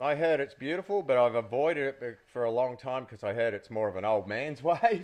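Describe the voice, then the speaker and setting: Against a quiet background, a man in an Australian accent talks at a medium pitch and fairly quick pace, with lively intonation and hardly any pauses. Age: 50s. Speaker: former pro surfer, podcast co-host. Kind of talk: casual chat.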